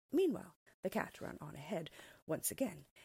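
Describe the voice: Against a quiet background, the clip is plain reading aloud.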